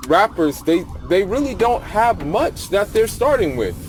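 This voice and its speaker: Against noticeable background noise, a man with a high pitch talks at a moderate pace with lively intonation. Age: 20s. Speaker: youtuber. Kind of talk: casual vlog monologue. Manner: casual, repetitive with restarts.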